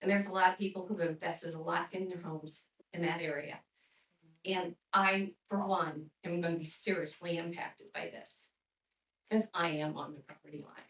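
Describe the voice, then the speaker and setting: This woman's fairly low voice moves at a moderate pace with big swings in loudness, in a Midwestern US accent. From northern Indiana. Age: 60s. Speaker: resident speaking at public comment. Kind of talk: public comment at town meeting. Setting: town council meeting room.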